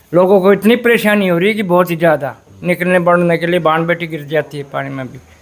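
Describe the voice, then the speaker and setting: A man talks in a high pitch at a moderate pace with hardly any pauses. His loudness swings a lot. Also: ordinary pitch variation. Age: 60s. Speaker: retired bus transport worker. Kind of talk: street interview.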